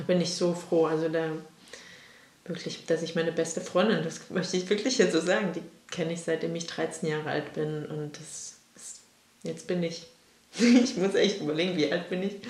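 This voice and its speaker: A woman speaks at a moderate pace with a fairly low pitch, ordinary pitch variation, and long, frequent pauses. Audible room echo and noticeable background noise surround her voice. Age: 30s. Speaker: podcast co-host, interviewed in this episode. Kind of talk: personal interview, casual.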